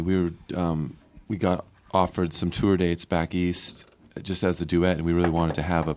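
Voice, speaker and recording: A man talks at a fairly quick pace with a very deep, low pitch. Noticeable background noise runs underneath. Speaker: musician. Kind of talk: casual interview chat.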